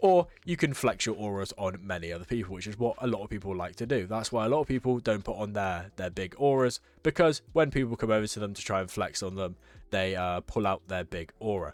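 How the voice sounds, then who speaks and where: A man talks at a fairly quick pace in a fairly low pitch. His pitch variation is ordinary. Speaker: gaming YouTuber. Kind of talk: gameplay tutorial commentary. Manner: fast; casual, filler-heavy.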